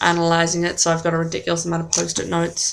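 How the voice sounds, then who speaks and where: Against noticeable background noise, a woman speaks at a very fast pace with a fairly low pitch. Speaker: vlogger. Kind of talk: casual chat.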